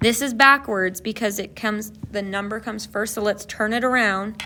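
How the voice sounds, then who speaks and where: A woman with a bright, sharp tone and a fairly high pitch talks at a moderate pace with ordinary pitch variation. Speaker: math tutorial maker. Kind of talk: tutorial. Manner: casual, with fillers.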